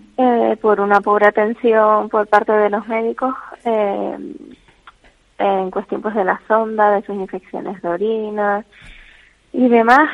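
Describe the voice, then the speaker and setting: A woman with an ordinary speaking voice talks at a fairly slow pace, keeping a medium pitch and fairly even intonation. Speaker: caregiver's daughter. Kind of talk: radio interview. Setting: phone call. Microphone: bad connection.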